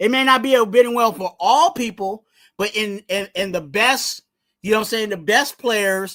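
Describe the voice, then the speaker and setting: A man's raised, projected voice, high in pitch, with a bright, sharp tone. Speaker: sports podcaster / YouTuber. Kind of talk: casual live commentary. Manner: loud; animated.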